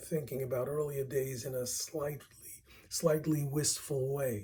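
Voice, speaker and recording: With a Brooklyn accent, a man talks at a fairly slow pace in a dark, mellow tone that is somewhat breathy. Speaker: music researcher presenting a paper. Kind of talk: reading a prepared paper aloud.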